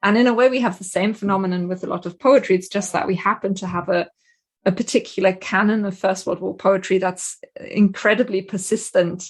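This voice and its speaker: A somewhat breathy female voice at a fairly quick pace, with fairly even intonation. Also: medium pitch for a woman. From Germany. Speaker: literature professor. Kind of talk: podcast discussion.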